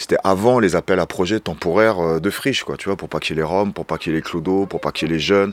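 A man's very deep, low voice at a very fast pace, with hardly any pauses. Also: ordinary pitch variation. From France, Seine-Saint-Denis (Paris suburbs). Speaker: urban shepherd, association founder. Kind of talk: casual interview, guided tour. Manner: casual, hesitant with fillers.

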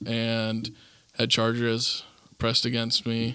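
The voice has a bright, sharp tone. It carries a Midwestern American accent. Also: man. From northern Indiana, Goshen. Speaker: real estate investor. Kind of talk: casual interview. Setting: in-person studio with camera.

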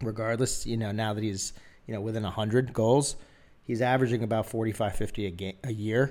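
With an American accent, this man talks at a fairly quick pace and medium pitch in a plain, everyday voice, his intonation fairly even. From Philadelphia, US. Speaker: sports podcast host. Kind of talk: casual chat. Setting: studio.

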